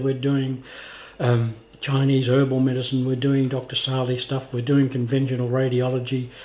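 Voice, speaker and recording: With an Australian accent and a medium pitch, a man talks over noticeable background noise. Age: 80s+. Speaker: vlogger with cancer. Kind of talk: video diary.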